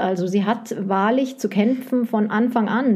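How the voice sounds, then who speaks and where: Her voice fairly high and somewhat breathy, a woman speaks in a dark, mellow tone with fairly even intonation. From West Germany. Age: 40s. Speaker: publisher's sales rep, former bookseller. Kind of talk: casual chat.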